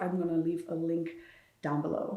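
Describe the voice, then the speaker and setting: Her voice is fairly low in pitch, this woman speaking amid noticeable background noise. Audible room echo fills the recording. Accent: German. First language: German. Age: 20s. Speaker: vlogger and author. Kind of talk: casual chat.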